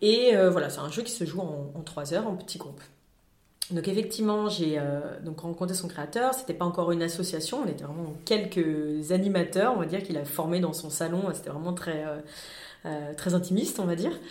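Audible room echo surrounds a woman with a fairly low pitch. She speaks at a moderate pace with ordinary pitch variation. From France, Lyon. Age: 40s. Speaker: climate awareness workshop founder. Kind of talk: interview. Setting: studio. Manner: hesitant, frequent fillers.

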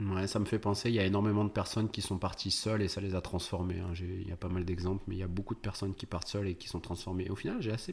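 A man talks very fast with hardly any pauses, in a fairly low, somewhat breathy voice. His intonation is flat and monotone, and the recording is very clean with a silent background. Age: 30s. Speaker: entrepreneur, tax optimisation expert, former physiotherapist. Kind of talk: casual interview.

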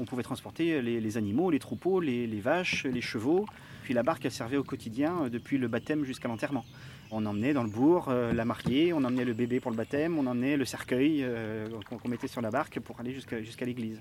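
The words come very fast, and the pitch varies in an ordinary way. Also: man, medium pitch for a man. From Marais Poitevin, western France. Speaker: historian. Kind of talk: field interview.

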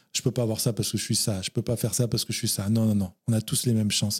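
This man's dark, mellow tone is somewhat breathy and sits in a dry, close sound with no echo. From France. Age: 40s. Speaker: novelist. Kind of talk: interview.

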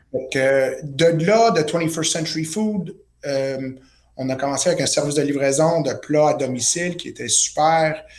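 Ordinary pitch variation in a fairly high male voice, with audible room echo. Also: fairly slow pace. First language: not French (speaking French). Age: 30s. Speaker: chef and entrepreneur. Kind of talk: interview. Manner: halting.

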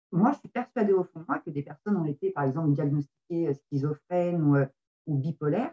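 In an ordinary speaking voice, a woman speaks at a fairly quick pace and fairly low pitch, with big swings in loudness. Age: 40s. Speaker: medium and card reader. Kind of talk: interview.

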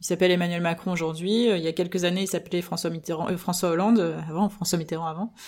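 A woman at a fairly low pitch, very fast and monotone with flat intonation, on a very clean recording with a silent background. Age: 30s. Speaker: political party spokesperson. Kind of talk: interview. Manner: hesitant with many fillers.

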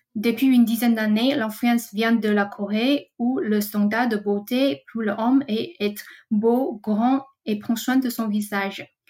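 At a very slow pace, the voice moves with ordinary pitch variation. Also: woman. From Taiwan. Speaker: trend researcher. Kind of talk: scripted segment. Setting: recording at home.

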